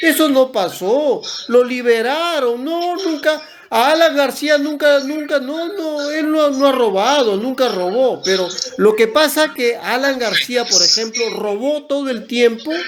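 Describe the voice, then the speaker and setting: A man's lively, extremely high-pitched voice at a fairly slow pace, with noticeable background noise. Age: 60s. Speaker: environmental organization director. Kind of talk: interview. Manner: halting, frequent self-corrections.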